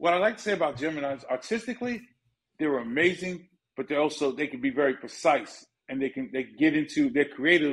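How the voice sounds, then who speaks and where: Against a quiet background, a man with a New York accent talks fairly quickly at a fairly high pitch with ordinary pitch variation. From Bronx, New York. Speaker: music manager; interview guest. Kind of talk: casual interview. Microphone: phone near.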